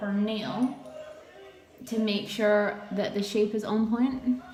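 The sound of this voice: A woman of medium pitch speaks at a slow pace in a dark, mellow tone. Her intonation stays fairly even, and audible room echo surrounds it.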